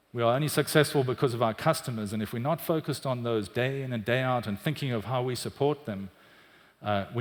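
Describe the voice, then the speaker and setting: Speaking at a very fast pace, a man uses a medium pitch with ordinary pitch variation. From South Africa, Cape Town. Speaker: tech executive, chief customer officer. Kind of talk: conference talk.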